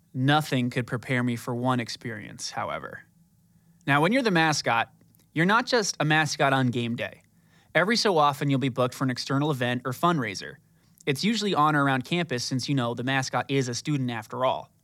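In a very clean recording with a silent background, a man talks at a fairly quick pace with an American accent. His voice is fairly high with ordinary pitch variation and a bright, sharp tone. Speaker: podcast host and brand spokesperson. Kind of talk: scripted narration. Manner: fast.

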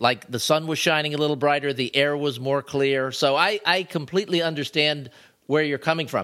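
Bright, sharp male voice on a very clean recording with a silent background. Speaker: podcast co-host and writer. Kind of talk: casual chat. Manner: smiling, cheerful.

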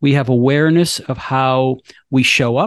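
A man's plain, everyday voice, fairly high in pitch, with fairly even intonation at a moderate pace, the sound dry and close with no echo. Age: 50s. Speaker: wealth management firm CEO. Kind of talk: interview.

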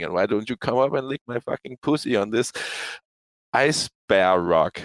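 The sound is dry and close with no echo, and a man with an unremarkable speaking voice is heard. His intonation is lively. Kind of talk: casual chat. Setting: online audio room.

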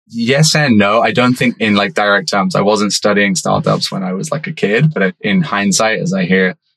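A medium-pitched man's voice moves through very wide pitch swings. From UK. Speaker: startup founder. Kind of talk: interview.

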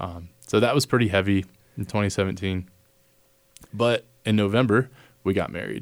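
A man with an American accent and a fairly low pitch speaks at a moderate pace with vocal fry, ordinary pitch variation and long, frequent pauses. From Texas, near San Antonio. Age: 20s. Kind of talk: casual interview conversation.

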